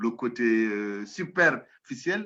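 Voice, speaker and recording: The man's tone comes across as bright and sharp. His intonation is lively. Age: 60s. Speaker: professor, anthropologist. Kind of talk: interview.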